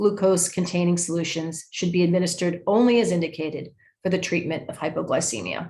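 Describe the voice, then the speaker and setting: A woman talks at a very fast pace in a fairly low, somewhat breathy voice. Her tone is dark and mellow, with ordinary pitch variation. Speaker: education program manager at nonprofit. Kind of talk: presentation. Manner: halting, many fillers.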